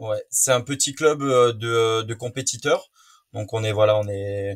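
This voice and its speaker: Speaking at a fairly slow pace, a man uses a fairly low pitch and fairly even intonation, sounding somewhat breathy. The recording is very clean, with a silent background. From French Guiana. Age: 20s. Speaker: student and jiu-jitsu practitioner. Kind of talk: interview. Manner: hesitant, many fillers.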